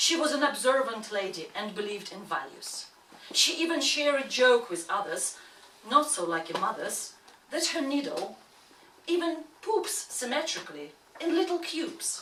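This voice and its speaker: Through audible room echo and noticeable background noise, a woman with a non-native accent speaks in a raised, projected voice at a moderate pace, her high pitch swinging very widely. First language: not English. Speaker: actress. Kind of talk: reading aloud.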